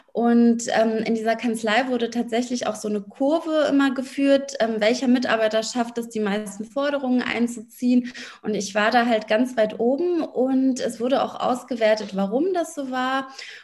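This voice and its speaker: The speech runs with hardly any pauses and ordinary pitch variation. Noticeable background noise is present. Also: woman, high pitch for a woman, moderate pace. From Berlin, Germany. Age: 30s. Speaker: lawyer and business coach. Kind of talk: interview.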